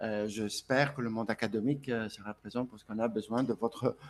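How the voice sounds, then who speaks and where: In a Greek accent, a man speaks at a medium pitch with monotone, flat intonation. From Greece (Volos). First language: Greek (speaking French). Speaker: speaker at a conference. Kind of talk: conference speech. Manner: hesitant, many fillers and repetitions.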